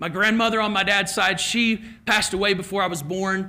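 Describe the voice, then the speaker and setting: In a Kentucky accent, a man with a high pitch and a bright, sharp tone uses a raised, projected voice, moving at a moderate pace with ordinary pitch variation. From Kentucky, Lexington area. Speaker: keynote speaker. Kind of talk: keynote speech with personal story.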